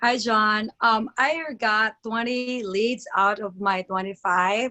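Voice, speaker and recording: A woman talks with a fairly high pitch and fairly even intonation. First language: not English. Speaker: network marketing distributor. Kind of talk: testimony on a group video call. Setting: video call.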